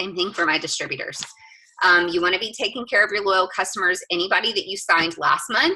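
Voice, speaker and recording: A woman talks at a very fast pace in a bright, sharp tone, her medium pitch showing ordinary pitch variation. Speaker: direct sales team leader. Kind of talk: team training update. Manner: animated.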